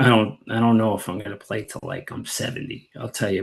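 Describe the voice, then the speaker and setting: At a moderate pace, a man talks in a fairly low pitch. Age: 60s. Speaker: amateur baseball player. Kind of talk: interview. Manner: hesitant, filler-heavy.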